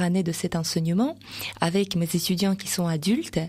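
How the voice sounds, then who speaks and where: A woman with a Russian accent at a fairly low pitch, with a fairly slow pace and fairly even intonation. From Russia, Voronezh. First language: Russian (speaking French). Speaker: association president and Russian teacher. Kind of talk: radio interview. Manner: hesitant, many fillers.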